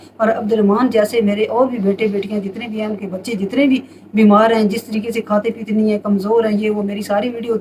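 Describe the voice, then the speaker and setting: With noticeable background noise present, a woman talks at a moderate pace and a fairly high pitch. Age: 60s. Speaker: home remedy advisor. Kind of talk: casual advice monologue.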